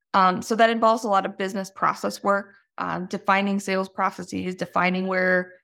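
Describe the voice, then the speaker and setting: A woman talks at a moderate pace in a normal speaking voice, medium in pitch. Her intonation is fairly even, and the recording is very clean with a silent background. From US, moved around as Navy child. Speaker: business founder and CEO. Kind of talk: interview. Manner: frequent fillers, conversational.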